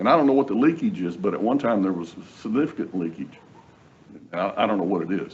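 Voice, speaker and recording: A man talks at a very fast pace, pitch swinging very widely. Long pauses break up his speech often. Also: medium pitch for a man. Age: 70s. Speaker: attorney, job candidate. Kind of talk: job interview. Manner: halting, repeats words.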